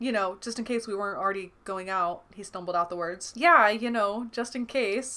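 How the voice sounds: The speaker uses a natural reading voice that has ordinary pitch variation.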